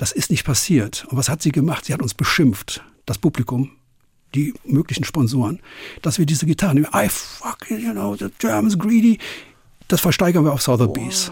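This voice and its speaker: A man with a fairly high pitch sounds somewhat breathy. He talks at a moderate pace with very wide pitch swings. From western Germany (Cologne area, NRW). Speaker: concert promoter. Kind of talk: interview.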